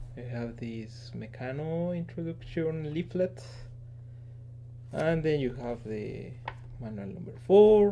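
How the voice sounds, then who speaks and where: A man with a non-native accent at a very slow pace, with long, frequent pauses and big swings in loudness, in audible room echo. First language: not English. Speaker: engineer and toy collector. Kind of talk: casual show-and-tell video. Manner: halting, many fillers.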